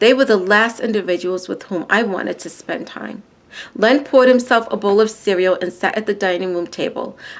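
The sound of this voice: An unforced reading voice moves along with ordinary pitch variation.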